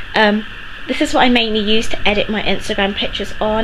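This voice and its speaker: Noticeable background noise runs under the recording. A woman talks over it at a fairly quick pace. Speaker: vlogger. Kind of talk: casual vlog chat. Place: home room. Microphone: phone near.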